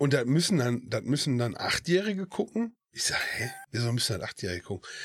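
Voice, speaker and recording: Talking at a very fast pace, a man with a medium-pitched voice makes very wide pitch swings. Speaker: podcast co-host. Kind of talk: casual chat.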